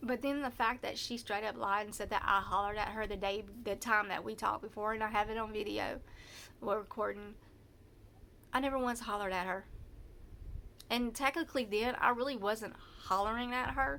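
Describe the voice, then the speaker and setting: A woman with a Southern US accent and a fairly high pitch talks at a fairly quick pace. Her intonation is fairly even, broken by long, frequent pauses. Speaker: vlogger telling personal story. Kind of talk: personal testimony. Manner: halting, many false starts; loud when anxious.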